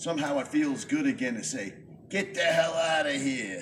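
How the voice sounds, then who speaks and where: With noticeable background noise, a man with an American accent talks at a moderate pace with lively intonation. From New York. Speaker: poet. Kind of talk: spoken word performance.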